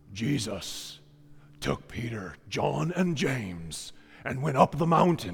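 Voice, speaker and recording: Putting on a character voice, a man at a medium pitch swings his pitch very widely while keeping a fairly slow pace. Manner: dramatic, suspenseful trailer narration.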